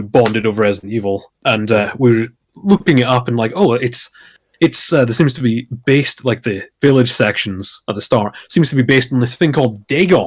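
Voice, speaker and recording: This man has an American accent and a medium pitch. He talks at a fairly quick pace with lively intonation. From Scotland. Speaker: streamer and podcast guest. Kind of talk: casual chat.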